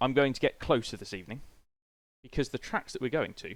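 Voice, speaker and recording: A man with a British accent and a fairly high-pitched voice. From Britain. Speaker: video game streamer. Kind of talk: casual live-stream chat. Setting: live stream with webcam.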